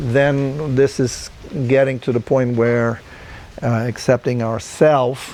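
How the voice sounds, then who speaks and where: The intonation stays monotone and flat. Background noise is noticeable. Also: man, medium pitch for a man, fairly slow pace. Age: 70s. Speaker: group dialogue facilitator. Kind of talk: reflective group dialogue. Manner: halting.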